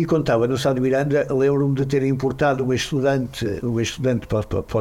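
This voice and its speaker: A man speaks fairly quickly in a dark, mellow tone. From Braga, northern Portugal. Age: 60s. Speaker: musician, singer. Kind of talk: casual chat.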